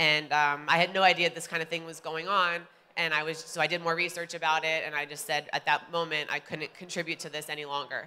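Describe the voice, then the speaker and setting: A woman with an American accent talks very fast, with hardly any pauses, in a bright, sharp tone at a fairly low pitch. Her intonation is monotone and flat, though her loudness swings widely. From Ohio, US Midwest. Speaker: vegan bodybuilder. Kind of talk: personal talk to audience.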